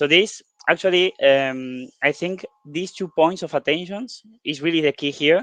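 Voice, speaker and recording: A man with a Spanish accent and a fairly high pitch. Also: ordinary pitch variation, moderate pace. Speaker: software developer co-presenting workshop. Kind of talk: online workshop discussion. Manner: hesitant, with fillers.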